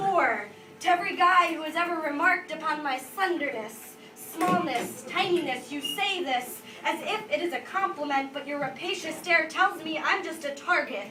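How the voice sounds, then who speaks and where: A woman speaks at a moderate pace in a raised, projected voice, extremely high in pitch, intense in tone and lively in intonation. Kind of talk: live slam poetry performance. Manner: intense, emotional, expressive spoken-word delivery with some stutters.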